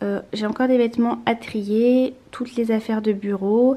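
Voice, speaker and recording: Pitched fairly high, a woman speaks with ordinary variation in her pitch. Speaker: lifestyle vlogger. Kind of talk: casual vlog. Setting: at home, apartment tour. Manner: soft-spoken; hesitant, many fillers.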